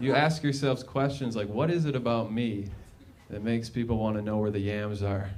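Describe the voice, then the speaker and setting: Audible room echo surrounds a man with an American accent who speaks fairly quickly at a medium pitch, his pitch varying in an ordinary way. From Minnesota, suburbs. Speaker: stand-up comedian. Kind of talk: stand-up. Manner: halting.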